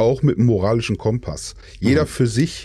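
A man talks at a fairly quick pace with a dark, mellow tone and a somewhat breathy quality. The recording is very clean, with a silent background. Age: 40s. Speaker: gamer, outlaw player group member. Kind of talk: casual chat.

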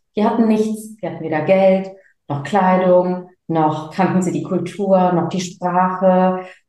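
Her intonation monotone and flat, a woman speaks at medium pitch. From Germany, of Sri Lankan Tamil parents. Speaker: speaker and business coach. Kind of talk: casual interview.

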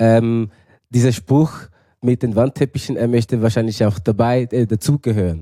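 A man with a Zurich accent speaks in a dark, mellow tone, the sound dry and close with no echo on a very clean recording with a silent background. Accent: Zurich Swiss German. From Switzerland, Zurich. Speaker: actor. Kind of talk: casual chat.

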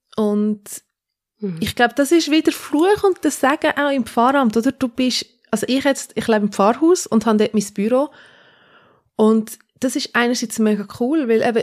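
A woman's plain, everyday voice at a moderate pace with ordinary pitch variation. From Switzerland, Zürcher Oberland. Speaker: pastor. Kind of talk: casual interview.

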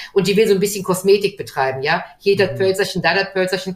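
With noticeable noise around her, a woman talks in a mid-range voice. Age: 50s. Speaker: gym owner. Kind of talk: video interview.

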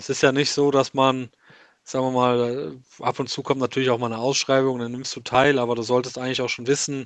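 Against a quiet background, a man speaks very fast at a medium pitch in a monotone, flat intonation, the sound dry and close with no echo. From Germany, Westerwald. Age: 30s. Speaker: private markets finance professional. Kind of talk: casual interview.

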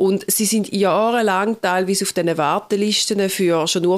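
The speaker is a woman with an unremarkable speaking voice at medium pitch. She talks at a fairly slow pace. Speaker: pastor. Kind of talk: casual chat. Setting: remote call.

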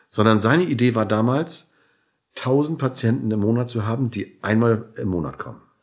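In a normal speaking voice, a man talks at a moderate pace, his pitch medium and its variation ordinary. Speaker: chiropractor and entrepreneur. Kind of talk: interview. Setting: hotel room.

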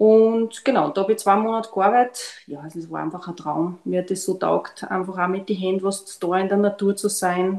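A woman with an unremarkable speaking voice, medium in pitch, at a moderate pace with hardly any pauses and fairly even intonation. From Austria, Linz. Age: 50s. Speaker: biomedical analyst and gluten-free baker. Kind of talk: casual chat.

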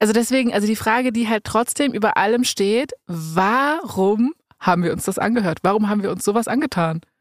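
A woman speaks at a fairly quick pace with a fairly high pitch, an animated tone and lively intonation. The sound is dry and close with no echo. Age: 30s. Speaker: podcast host. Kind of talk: casual chat. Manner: animated, laughs often.

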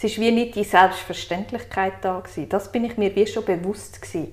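A woman with a Swiss accent talks with vocal fry and fairly even intonation. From Switzerland. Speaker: guest sharing personal story. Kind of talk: interview.

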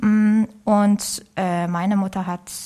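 A woman talks in a somewhat breathy voice with a Korean accent. Her recording is very clean, with a silent background. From South Korea. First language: Korean (speaking German). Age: 30s. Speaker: orchestra violinist. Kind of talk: interview. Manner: halting.

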